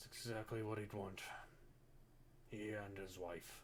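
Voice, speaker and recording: A man puts on a character voice at a fairly low pitch. He speaks at a moderate pace amid clear background noise. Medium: actual play. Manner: hesitant, halting, full of filler words.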